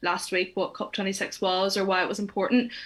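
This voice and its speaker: A woman speaks with a Northern Irish accent at a fairly quick pace. Her medium-pitched voice has monotone, flat intonation. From Northern Ireland. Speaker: climate reporter. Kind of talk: webinar interview.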